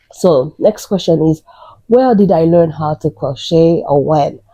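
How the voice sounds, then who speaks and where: In a Haitian accent, a woman talks at a fairly slow pace with a dark, mellow tone. Her voice sounds dry and close, with no echo. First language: Haitian Creole / French. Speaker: crochet YouTuber. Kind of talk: casual vlog introduction.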